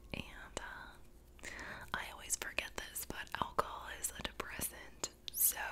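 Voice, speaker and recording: A woman is whispering. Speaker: video creator. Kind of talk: casual vlog chat. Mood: candid, reflective about anxiety. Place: home room. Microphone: studio mic.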